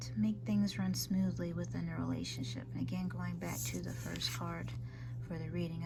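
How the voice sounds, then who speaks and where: Over music in the background, a soft-spoken woman talks at a moderate pace with fairly even intonation. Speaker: tarot reader. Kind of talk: tarot card reading to camera.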